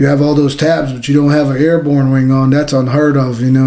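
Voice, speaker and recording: Audible room echo surrounds a man speaking at a fairly quick pace. His tone is dark and mellow. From New Jersey. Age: 40s. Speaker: war veteran. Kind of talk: interview. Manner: casual, animated storytelling.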